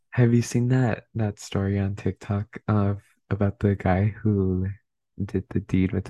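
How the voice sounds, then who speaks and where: Whispering and soft-spoken, a man talks at a fairly slow pace against a quiet background, with a dry, close sound and no echo. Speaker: podcast co-host. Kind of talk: casual chat. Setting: at home at midnight. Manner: soft-spoken, near whisper.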